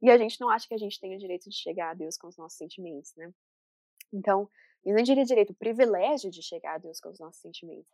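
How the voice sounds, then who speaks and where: A woman speaks very fast in a medium pitch with a dark, mellow tone and ordinary pitch variation. Her loudness swings widely, and the sound is dry and close, with no echo. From Brazil, interior of São Paulo state. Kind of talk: casual interview chat.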